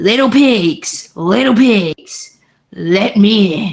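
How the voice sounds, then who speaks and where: Very slow delivery in a put-on character voice with a fairly high pitch. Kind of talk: bedtime story. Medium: game stream.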